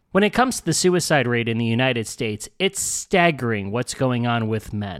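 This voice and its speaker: A man with a normal speaking voice talks at a moderate pace, his intonation lively. The recording is very clean, with a silent background. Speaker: podcast host. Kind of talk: podcast intro and interview.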